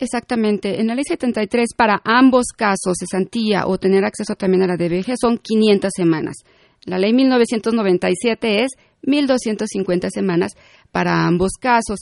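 A woman with a medium-pitched voice and ordinary pitch variation talks at a very slow pace, recorded with a dry, close sound with no echo over a quiet background. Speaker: tax accountant and consultant. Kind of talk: radio interview. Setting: studio.

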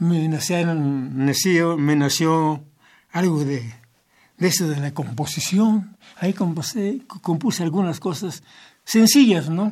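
A man's high voice at a very slow pace with ordinary pitch variation, on a very clean recording with a silent background. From southern State of Mexico, Mexico. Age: 80s+. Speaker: organist, church singer and composer. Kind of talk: interview. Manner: halting, with repetitions.

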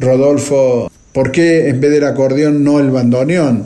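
A strong Argentine accent at a fairly slow pace, with audible room echo and noticeable background noise. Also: man. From Argentina. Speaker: bandoneon player and composer. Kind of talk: interview. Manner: halting.

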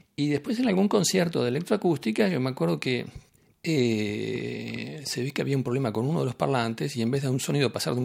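A man at a very fast pace, with very wide pitch swings and vocal fry. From Argentina. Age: 50s. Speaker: composer. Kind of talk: interview. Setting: in Nice, France.

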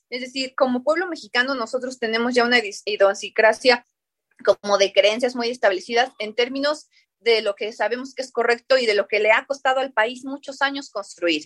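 High-pitched, a woman speaks at a moderate pace with ordinary pitch variation, in dry, close sound without echo. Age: 30s. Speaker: politician. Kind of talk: radio debate.

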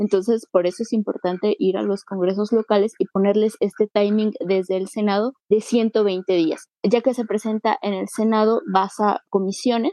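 At a moderate pace, a woman talks in an ordinary speaking voice of medium pitch. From Mexico City (Iztacalco). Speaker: local legislator. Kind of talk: radio interview.

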